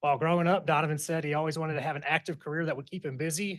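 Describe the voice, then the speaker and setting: A man talks at a very fast pace in a flat, monotone delivery. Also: quiet background. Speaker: fire chief. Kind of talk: formal presentation.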